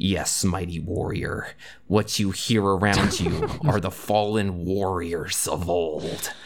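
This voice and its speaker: A man growls in a put-on character voice with very deep, low pitch. His intonation stays fairly even over light background noise. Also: fairly slow pace. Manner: grandiose, dramatic.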